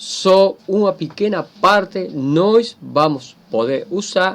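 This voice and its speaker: Lively intonation marks the speech of a man with a high pitch. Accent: Spanish. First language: Spanish (speaking Portuguese). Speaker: teacher. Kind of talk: lecture. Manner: halting.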